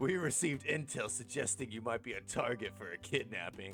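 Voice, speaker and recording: Putting on a character voice, a man talks at a fairly quick pace with lively intonation over clear background noise. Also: medium pitch for a man. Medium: game stream. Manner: curt, terse.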